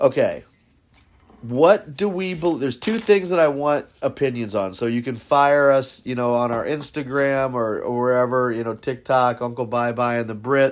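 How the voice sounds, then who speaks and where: A man with a normal speaking voice at medium pitch, ordinary pitch variation, and a moderate pace, in a very clean recording with a silent background. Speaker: podcast host. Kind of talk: casual chat.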